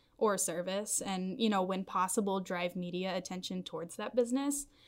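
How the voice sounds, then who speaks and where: In a very clean recording with a silent background, a woman speaks with a slight Southern US accent. Her pitch is medium, with ordinary variation, and her pace is moderate. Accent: general American, little Southern. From Nashville, Tennessee. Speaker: copywriter. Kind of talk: casual interview chat.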